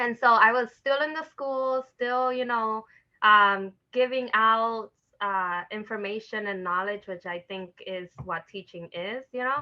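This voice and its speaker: A woman with an American accent talks at a fairly slow pace, her fairly high pitch showing ordinary variation and big swings in loudness. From New York City, the Bronx (Dominican family). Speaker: educator, parent engagement facilitator. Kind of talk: interview. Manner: casual, many filler words.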